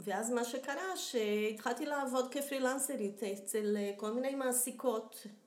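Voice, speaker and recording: A high-pitched woman at a fairly slow pace, ordinary pitch variation, audible room echo, and noticeable background noise. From Brazil. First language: Portuguese (speaking Hebrew). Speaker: professional home organizer. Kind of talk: interview.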